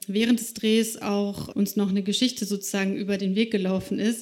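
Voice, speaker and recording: A woman speaks fairly quickly at a medium pitch. Her intonation is monotone and flat. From Slovakia. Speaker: journalist. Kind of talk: live talk on stage. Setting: stage with audience.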